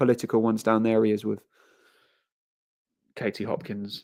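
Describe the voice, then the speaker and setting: The background is silent in this very clean recording. A man talks at a moderate speed. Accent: London. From England, London (Harrow). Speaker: livestreamer. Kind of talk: casual live stream chat.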